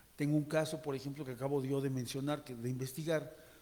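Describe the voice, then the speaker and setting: A man talks in a fairly high pitch with a dark, mellow tone. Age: 70s. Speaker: journalist, audience member asking questions. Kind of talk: audience question at a panel Q&A. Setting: auditorium with audience, microphone. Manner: halting, many false starts and fillers.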